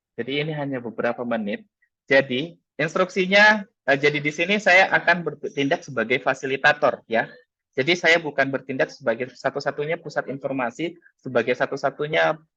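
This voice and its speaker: This man's voice sits fairly high and has a bright, sharp tone. He talks at a fairly quick pace. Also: ordinary pitch variation. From Makassar, South Sulawesi, Indonesia. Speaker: teacher and workshop speaker. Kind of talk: webinar presentation. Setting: video call. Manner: hesitant with frequent fillers.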